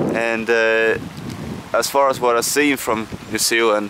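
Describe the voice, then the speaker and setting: Over noticeable background noise, a man with a Scandinavian accent speaks at a fairly slow pace in a monotone, flat intonation. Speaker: travel vlogger. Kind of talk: casual travel vlog. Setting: outdoors in a park. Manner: halting, many fillers.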